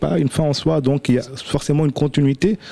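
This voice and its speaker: A man talks with a fairly high pitch. Noticeable background noise is present. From India. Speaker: restaurant manager. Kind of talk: radio panel discussion.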